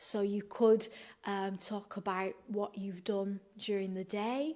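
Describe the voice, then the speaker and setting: In a Manchester accent, a woman speaks at a medium pitch with monotone, flat intonation. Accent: Northern English (Manchester). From Manchester, UK. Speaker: English teacher. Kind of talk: educational talk to camera. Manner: hesitant, many filler sounds.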